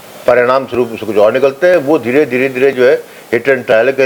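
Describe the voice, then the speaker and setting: A man's medium-pitched voice, with ordinary rise and fall, sits over noticeable background noise. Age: 60s. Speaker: political commentator. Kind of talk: interview. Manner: halting, many fillers.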